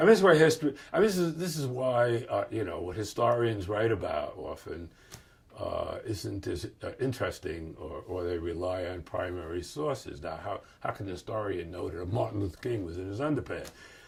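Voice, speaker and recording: A man talks in a New York accent. His pace is fairly quick. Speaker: professor and author. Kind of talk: interview storytelling. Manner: hesitant, many fillers.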